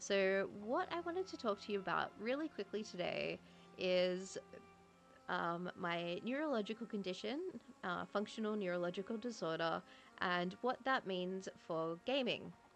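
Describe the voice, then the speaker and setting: A woman at a moderate pace with ordinary pitch variation and faint music in the background. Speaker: gaming streamer. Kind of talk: casual talk to camera. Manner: hesitant, with stutters and filler words. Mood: calm, serious topic. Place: home room. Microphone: studio mic.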